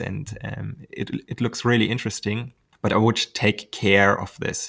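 A man with a German accent talks at a moderate pace in a fairly low, monotone voice with vocal fry and flat intonation. The recording is very clean and the background silent. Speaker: glider pilot and YouTuber. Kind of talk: interview. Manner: hesitant, many ums.

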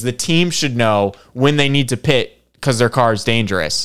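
A man speaks with lively intonation and a slight Michigan accent. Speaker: podcast co-host. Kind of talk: casual chat.

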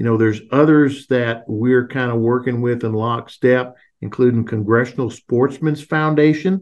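In an unremarkable speaking voice, a man talks at medium pitch and moderate pace with fairly even intonation and hardly any pauses. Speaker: wildlife biologist and industry advocate. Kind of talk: interview.

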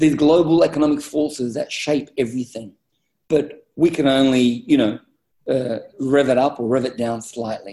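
Speaking at a moderate pace with an Australian accent, a man has a medium pitch, ordinary pitch variation and a dark, mellow tone. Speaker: business executive. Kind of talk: interview.

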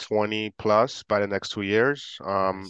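Recorded dry and close with no echo against a quiet background, a man speaks at a medium pitch with an American accent. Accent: good English, slight Haitian trace implied. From Haiti, raised in the US from age nine. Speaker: real estate investor, engineer. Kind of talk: casual interview. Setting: video call.

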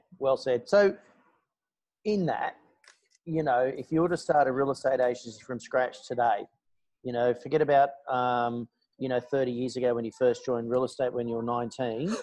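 A man with an Australian accent speaks at a moderate pace, using ordinary pitch variation. He leaves long, frequent pauses. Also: medium pitch for a man. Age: 40s. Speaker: podcast co-host, real estate trainer. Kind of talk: interview. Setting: video call from a McDonald's. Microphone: internet via phone hotspot, technical problems.

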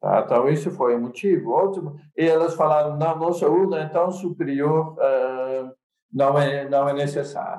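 In a room with audible echo, a man with a dark, mellow tone talks at a fairly high pitch with fairly even intonation. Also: moderate pace. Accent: Dutch. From Netherlands. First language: Dutch (speaking Portuguese). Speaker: computer science professor. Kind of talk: casual chat. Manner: halting.

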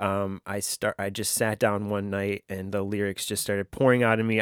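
A man with a fairly low pitch talks at a moderate pace on a very clean recording with a silent background. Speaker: podcast host. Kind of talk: solo podcast episode, personal storytelling. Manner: reflective, emotional; conversational, hesitant with filler words.

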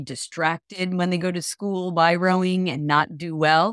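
Recorded very cleanly with a silent background and a dry, close sound with no echo, a woman has a plain, everyday voice, a fairly low pitch and fairly even intonation. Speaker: podcast host. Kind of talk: casual chat.

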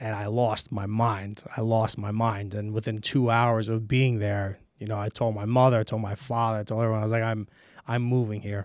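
Here is a man with an American accent. His fairly low pitch stays monotone, with flat intonation. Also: moderate pace. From New York City (Brooklyn, Queens). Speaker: film director. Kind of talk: casual chat.

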